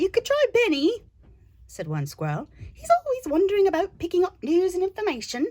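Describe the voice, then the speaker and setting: A woman's put-on character voice at an extremely high pitch, delivered at a fairly quick pace. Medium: read story.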